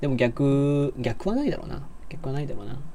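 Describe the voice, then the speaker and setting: Noticeable background noise sits behind this man. He speaks fairly quickly in a fairly high pitch with a relaxed tone. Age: 20s. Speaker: livestreamer and university student. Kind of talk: casual livestream chat while gaming. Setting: live audio stream while playing a game. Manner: relaxed, laid-back.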